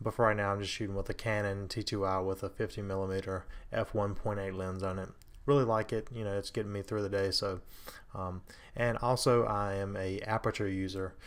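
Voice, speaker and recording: A soft-spoken man talks at a fairly quick pace. His fairly low voice stays flat and monotone. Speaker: amateur photographer. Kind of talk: tutorial. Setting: home, others asleep. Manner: hesitant, many fillers.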